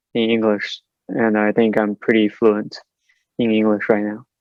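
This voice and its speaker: Monotone, flat speech from a man with a Chinese accent at a moderate pace. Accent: Mandarin Chinese accent in English. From mainland China. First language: Mandarin Chinese. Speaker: PhD student. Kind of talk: interview. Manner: halting with fillers.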